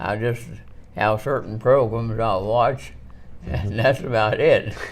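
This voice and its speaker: The speaker is a man with a medium-pitched voice. He talks at a very slow pace. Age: 80s+. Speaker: retired electrician and construction company founder. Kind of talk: interview answer. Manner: halting, hesitant.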